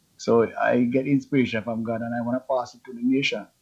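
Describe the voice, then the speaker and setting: Someone with a Jamaican accent talks at a fairly quick pace. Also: man. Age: 70s. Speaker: reggae artist. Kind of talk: interview.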